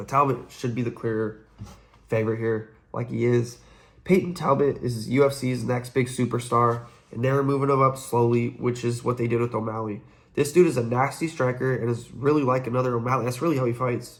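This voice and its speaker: A man's somewhat breathy voice at medium pitch, fairly quick pace and fairly even intonation. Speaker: MMA betting analyst. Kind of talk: fight predictions breakdown. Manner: fast; casual, conversational.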